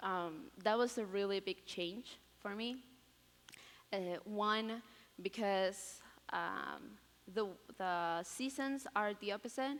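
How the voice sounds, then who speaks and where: A woman with a Spanish accent speaks at a very slow pace. She leaves long, frequent pauses. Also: medium pitch for a woman, ordinary pitch variation. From Peru. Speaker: college student. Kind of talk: testimony. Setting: chapel stage with audience. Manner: halting, many fillers.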